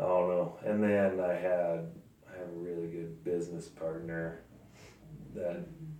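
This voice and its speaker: In a US Midwest accent, a man with a very deep, low pitch and a dark, mellow tone speaks flatly in a monotone at a moderate pace, with long, frequent pauses and audible room echo. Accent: rural US Midwest. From Sand Hills, Nebraska. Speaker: rodeo bulldogger. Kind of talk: casual interview.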